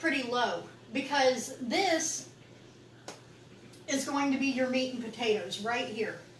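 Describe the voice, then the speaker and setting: A woman talks in a high voice at a fairly slow pace. Audible room echo surrounds her. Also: long, frequent pauses. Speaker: business coach. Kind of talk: online training session. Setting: live video session with teleprompter and camera.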